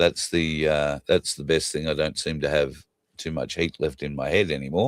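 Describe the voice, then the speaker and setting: A man speaks in a very deep, low voice with vocal fry and an Australian accent. The sound is dry and close, with no echo. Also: fairly even intonation, moderate pace. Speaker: talk show host. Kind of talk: casual chat.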